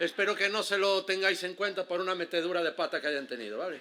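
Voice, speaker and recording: A man in an Andalusian accent speaks at a fairly quick pace with a bright, sharp tone and ordinary pitch variation. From Galicia, Spain. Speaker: heritage interpretation guide. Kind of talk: conference talk. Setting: stage with audience. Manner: fast; casual, with many fillers and false starts.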